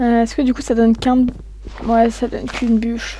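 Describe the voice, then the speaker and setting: A fairly high-pitched woman talks, with noticeable background noise behind her. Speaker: gaming YouTuber. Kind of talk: gameplay commentary. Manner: hesitant, many fillers.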